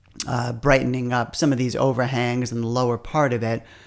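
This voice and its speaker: Over a very clean recording with a silent background, a man with a plain, everyday voice talks at a medium pitch and a fairly quick pace, with fairly even intonation. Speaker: photographer. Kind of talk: tutorial.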